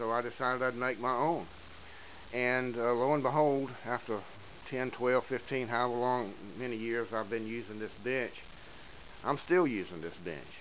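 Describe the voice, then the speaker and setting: Amid noticeable background noise, a man talks with long, frequent pauses. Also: medium pitch for a man, ordinary pitch variation, moderate pace. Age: 60s. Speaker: woodworking hobbyist. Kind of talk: tutorial. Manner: casual, hesitant with many fillers.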